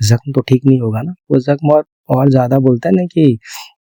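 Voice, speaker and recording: Dry and close with no echo, a man's voice sits at medium pitch with a dark, mellow tone. His intonation is fairly even. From India. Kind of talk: ASMR sleep talk addressed to a girl, soothing personal-attention roleplay. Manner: soft, calm, reassuring, slow.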